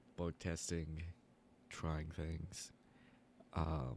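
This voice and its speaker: Soft-spoken and very slow, a man talks in a very deep, low pitch with vocal fry and a monotone, flat intonation. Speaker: gaming streamer. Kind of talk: live gameplay stream chat. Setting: live stream. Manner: casual, halting. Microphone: quiet audio, sitting closer to mic than usual.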